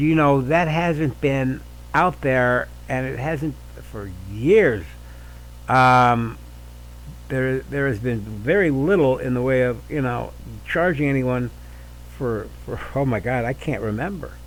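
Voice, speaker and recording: Long, frequent pauses break up a man's very slow speech, and room echo is audible. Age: 60s. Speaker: podcast host. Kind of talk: opinion monologue. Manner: halting, many fillers and repeats; animated.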